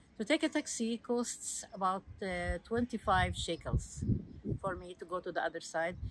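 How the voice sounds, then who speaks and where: In an Arabic accent, the speaker goes at a fairly slow pace with ordinary pitch variation. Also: woman. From Palestine, Hebron. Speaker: local tour guide. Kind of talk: guided walking tour. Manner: halting, many fillers.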